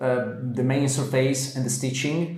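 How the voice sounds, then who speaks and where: With an Italian accent, a man speaks fairly slowly at a medium pitch and in a flat monotone, amid audible room echo and noticeable background noise. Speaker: interior design presenter. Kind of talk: casual chat. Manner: halting.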